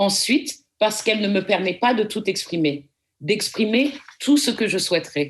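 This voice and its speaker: A woman talks at a fairly slow pace with very wide pitch swings. The background is quiet. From France, Paris. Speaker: lecturer. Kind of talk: lecture. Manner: formal.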